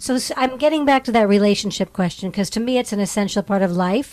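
A woman's unremarkable speaking voice, fairly high in pitch with ordinary pitch variation, at a fairly quick pace, dry and close with no echo. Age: 50s. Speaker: podcast host. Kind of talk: interview.

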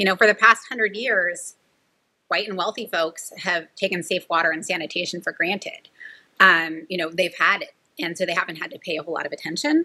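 With a bright, sharp tone, a woman talks at a fairly quick pace in a medium pitch, showing ordinary pitch variation and big swings in loudness. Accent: Californian. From California, Central Valley. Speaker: nonprofit director. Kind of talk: interview.

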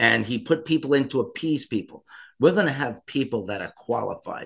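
Speaking at a moderate pace, a man talks in a fairly high pitch. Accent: American. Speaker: mayoral candidate. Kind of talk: political interview.

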